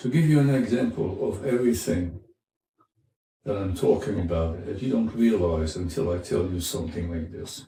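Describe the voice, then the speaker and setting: A man with a fairly low, dark and mellow voice speaks at a moderate pace, somewhat breathy. His intonation is lively, and room echo can be heard. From France, French Riviera. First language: French. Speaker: former Marine, immigrant interviewee. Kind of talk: interview. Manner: halting.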